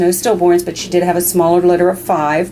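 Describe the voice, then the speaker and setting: Noticeable background noise runs under this recording. A woman speaks at a fairly low pitch with an American accent. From Maryland, DC suburbs. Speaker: dog breeder. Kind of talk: casual video update. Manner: hesitant with many fillers.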